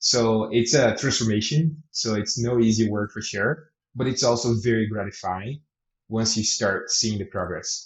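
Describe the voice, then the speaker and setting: A man at a medium pitch and a moderate pace, somewhat breathy, with fairly even intonation. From Brazil. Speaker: product director. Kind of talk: interview answers.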